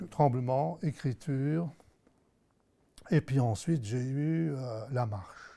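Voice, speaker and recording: Very slowly and with long, frequent pauses, a man speaks in a dark, mellow tone with ordinary pitch variation, on a very clean recording with a silent background. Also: medium pitch for a man. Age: 60s. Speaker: Parkinson's patient. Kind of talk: testimony.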